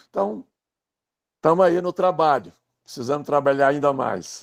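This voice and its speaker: A man speaks at a fairly high pitch in a Minas Gerais accent. The sound is dry and close with no echo. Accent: Brazilian Portuguese, Minas Gerais (mineiro). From Brazil, Minas Gerais (Pedro Leopoldo). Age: 60s. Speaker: writer and biographer. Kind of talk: casual chat.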